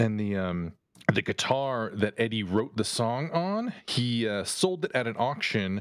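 A man with a normal speaking voice and medium pitch uses lively intonation. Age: 50s. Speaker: podcast host. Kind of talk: casual chat.

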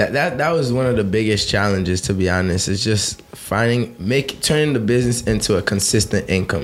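A man's fairly low voice at a fairly quick pace, with ordinary pitch variation, very even loudness, hardly any pauses and noticeable background noise. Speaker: car detailing entrepreneur. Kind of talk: casual chat.

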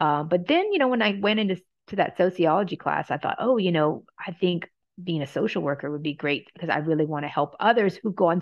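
A woman speaks at a very fast pace. Her voice is fairly low, with ordinary pitch variation. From Louisiana. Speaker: sociology professor and department chair. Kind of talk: interview.

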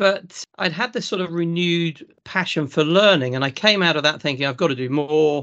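A man speaks in a high pitch. He has a Lincolnshire accent. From South Lincolnshire, England. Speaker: farmer and agricultural consultant. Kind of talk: casual interview.

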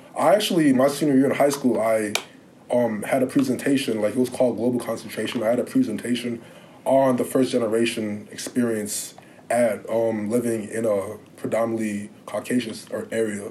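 Fairly quick delivery with fairly even intonation over noticeable background noise. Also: man, medium pitch for a man. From Illinois, Lake Bluff (north of Chicago). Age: young. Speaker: college athlete (sprinter), student. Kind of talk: interview, casual conversation.

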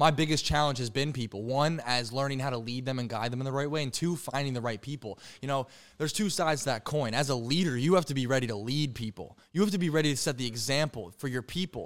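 A very fast man at medium pitch with ordinary pitch variation, on a very clean recording with a silent background. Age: 20s. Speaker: entrepreneur. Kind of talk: casual chat.

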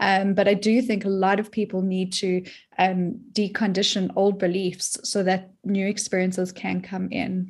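Against a quiet background, a woman talks at a moderate pace with a medium pitch. Her voice is somewhat breathy, with monotone, flat intonation. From South Africa. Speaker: depth psychologist and dream teacher. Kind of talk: interview conversation.

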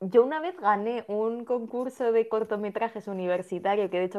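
An unremarkable speaking voice from a woman, at a moderate pace with fairly even intonation. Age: 20s. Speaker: podcast co-host. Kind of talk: casual chat about a TV series.

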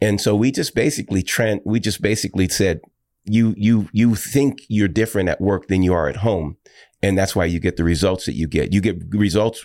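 At a fairly quick pace, a plain, everyday voice with an American accent and ordinary pitch variation comes across on a very clean recording with a silent background. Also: man. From Washington state, Tacoma. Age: 50s. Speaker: pastor and author. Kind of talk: casual interview. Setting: studio.

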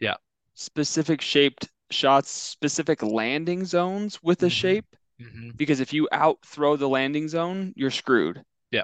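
A plain, everyday voice from a man with an American accent, fairly high in pitch, at a moderate pace with ordinary pitch variation, in dry, close sound with no echo and a quiet background. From Oregon. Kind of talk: casual chat.

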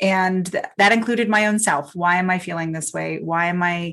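The speaker has an ordinary speaking voice, a moderate pace and ordinary pitch variation. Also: woman. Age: 50s. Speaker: sound healer and spiritual coach. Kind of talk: casual chat.

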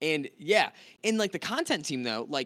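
Very wide pitch swings in a man's voice, with an American accent. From US (North Carolina, then California). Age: 20s. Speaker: gaming content creator. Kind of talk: casual chat. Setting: live stream video call.

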